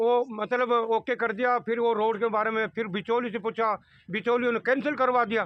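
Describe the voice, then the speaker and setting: Hardly pausing, a man speaks at an extremely high pitch with fairly even intonation and very even loudness. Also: moderate pace. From Rajasthan, Jhunjhunu area. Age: 60s. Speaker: villager interviewed about elections. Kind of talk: street interview. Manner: halting, many fillers.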